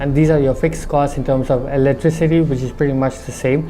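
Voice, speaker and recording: Speech with a slight non-native accent over noticeable background noise. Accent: slight foreign accent from living abroad. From India, Darjeeling. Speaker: restaurant owner. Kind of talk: interview.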